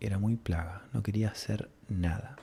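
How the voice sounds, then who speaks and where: A man speaks very slowly, his fairly low voice dark, mellow and somewhat breathy. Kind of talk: soft-spoken ASMR storytelling. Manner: soft-spoken, whispery.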